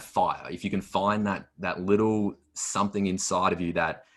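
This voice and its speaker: Recorded very cleanly with a silent background, a man with an Australian accent speaks at a fairly slow pace in a fairly low pitch. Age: 20s. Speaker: natural bodybuilder. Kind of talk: podcast interview answer. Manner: casual, reflective.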